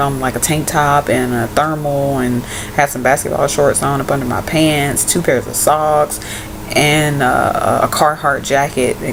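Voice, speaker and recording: A woman's very deep, low-pitched voice in a monotone, flat intonation, over noticeable background noise. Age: 20s. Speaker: vlogger and college student. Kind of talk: casual vlog.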